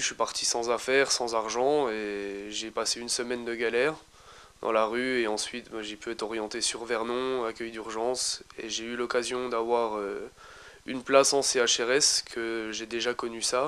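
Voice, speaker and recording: Speaking at a moderate pace, a man keeps his medium-pitched voice in a monotone, flat intonation. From eastern France (Besançon, Franche-Comté). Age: 20s. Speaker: young resident of a homeless shelter. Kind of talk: interview testimony. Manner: hesitant, many fillers.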